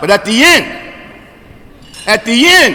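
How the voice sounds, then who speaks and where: The voice is raised and projected, with an animated tone and very wide pitch swings. Noticeable background noise runs underneath. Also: man. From New Jersey, greater Camden area. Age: 60s. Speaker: recovery speaker. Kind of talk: recovery testimony at convention.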